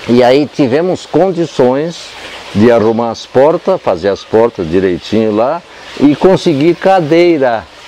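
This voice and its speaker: Against noticeable background noise, a man with a medium pitch speaks at a fairly slow pace with very wide pitch swings. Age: 80s+. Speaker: spiritist centre founder, psychologist. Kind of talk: interview, oral history storytelling. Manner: halting, repetitive.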